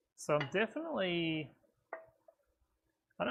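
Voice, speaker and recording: A man talks in a somewhat breathy voice. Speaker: welder livestreamer. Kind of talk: live tutorial. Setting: livestream workshop. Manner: casual, filler-heavy.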